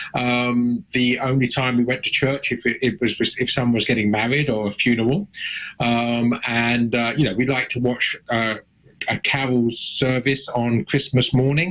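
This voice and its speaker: A man speaks in an English accent at a medium pitch and a moderate pace. His intonation stays fairly even, and his loudness is very even. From southern England, Suffolk. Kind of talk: interview testimony.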